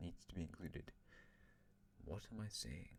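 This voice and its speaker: This voice carries a dark, mellow tone. Its pitch variation is ordinary. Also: man. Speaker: YouTuber narrating an alternate-history game. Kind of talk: gameplay commentary. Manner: fast.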